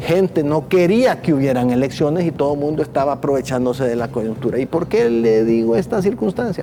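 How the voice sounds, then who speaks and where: Speaking at a fairly quick pace with hardly any pauses, a man with a fairly high pitch uses lively intonation and very even loudness over noticeable background noise. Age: 60s. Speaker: former electoral magistrate. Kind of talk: TV interview.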